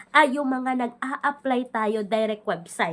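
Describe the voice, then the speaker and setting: Her pitch is high. The woman talks at a fairly slow pace with ordinary pitch variation. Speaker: loan app reviewer, YouTuber. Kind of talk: product review vlog. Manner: conversational.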